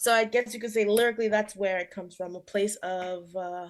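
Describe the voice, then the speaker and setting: A woman talks at a fairly quick pace in an unremarkable speaking voice. Her pitch is fairly high, and her intonation fairly even. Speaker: hip hop musician. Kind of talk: interview.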